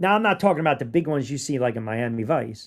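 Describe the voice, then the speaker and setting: In a very clean recording with a silent background, a man speaks with a New York accent and lively intonation. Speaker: sports podcast host. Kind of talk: casual podcast commentary. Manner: animated.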